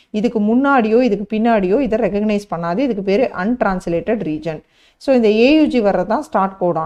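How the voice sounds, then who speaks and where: The woman's voice has a fairly high pitch and a dark, mellow tone. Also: ordinary pitch variation. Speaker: biology teacher. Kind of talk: online lecture.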